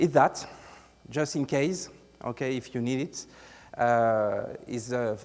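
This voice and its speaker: Speaking at a very slow pace in a strong French accent, a man keeps a medium pitch with ordinary pitch variation. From France. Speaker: IT consultant, conference presenter. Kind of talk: conference talk. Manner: halting, many filler sounds; deliberately articulated.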